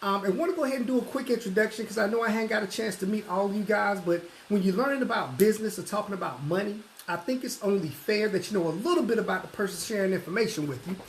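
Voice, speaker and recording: Through noticeable background noise, a man with a Southern US accent talks at a very fast pace and a high pitch. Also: lively intonation. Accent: southern twang. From US South, Atlanta, Georgia. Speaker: financial services recruiter. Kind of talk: sales pitch.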